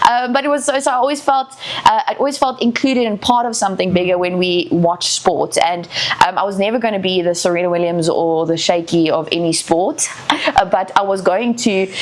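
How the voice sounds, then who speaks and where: A woman with a South African accent talks at a fairly quick pace and medium pitch. Her intonation is lively over noticeable background noise. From South Africa, Eastern Cape. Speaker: sports broadcaster and radio host. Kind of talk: casual interview chat. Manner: fast.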